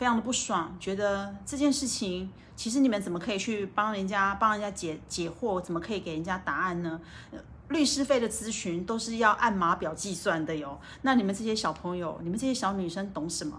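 Speaking at a fairly quick pace with a Taiwanese accent, a woman at medium pitch uses ordinary pitch variation amid audible room echo. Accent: Taiwanese Mandarin. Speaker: livestream host. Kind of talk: livestream book talk. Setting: hotel room. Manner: casual, slightly halting.

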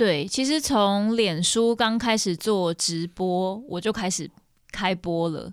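Very slow speech from a woman at medium pitch, with ordinary pitch variation. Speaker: singer-songwriter. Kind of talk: casual interview chat.

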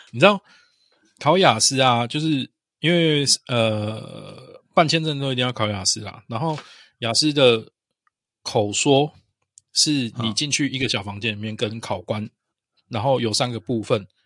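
On a very clean recording with a silent background, a man speaks fairly slowly at a medium pitch, with long, frequent pauses. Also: ordinary pitch variation. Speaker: podcast co-host. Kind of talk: casual chat.

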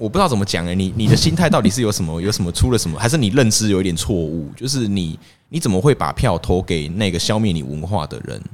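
The delivery is very fast, with hardly any pauses. The intonation is lively. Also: man, fairly low pitch for a man. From Taiwan, Pingtung Zhutian (Hakka area). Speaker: podcast guest. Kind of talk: casual chat.

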